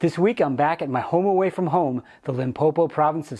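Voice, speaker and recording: The pace of this man's speech is fairly quick. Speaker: hunting video creator. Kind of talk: scripted narration. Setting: outdoors in a hunting blind. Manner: soft-spoken.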